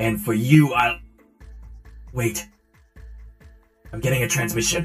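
Faint music plays in the background as a man of medium pitch performs a put-on character voice. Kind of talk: comic GM character voice. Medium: actual play. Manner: curt, impatient, commanding.

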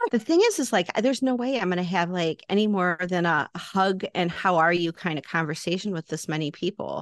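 In an American accent, the speaker goes at a fairly quick pace with hardly any pauses and ordinary pitch variation, the sound dry and close with no echo. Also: woman, medium pitch for a woman.

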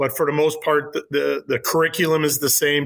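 Enthusiastic in tone, a man speaks with a bright, sharp voice at a fairly high pitch. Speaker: high school teacher. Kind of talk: interview.

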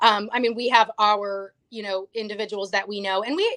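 A woman with a fairly high pitch, an unremarkable speaking voice, and a moderate pace, in a dry, close sound with no echo over a quiet background. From Canada. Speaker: actress and health freedom activist. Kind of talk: interview.

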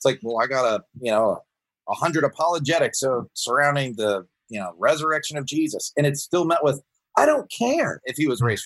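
In an unremarkable speaking voice, a man with an American accent talks fairly quickly at a fairly high pitch, with lively intonation and big swings in loudness, in a dry, close sound with no echo. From US South, Georgia. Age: 40s. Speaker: pastor. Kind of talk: casual interview.

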